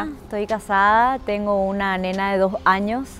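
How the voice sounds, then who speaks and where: Her voice sits at a medium pitch for a woman. There is light background noise, and the sound is dry with no echo. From Paraguay. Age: 30s. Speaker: actress. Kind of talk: interview answer. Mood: warm, grateful.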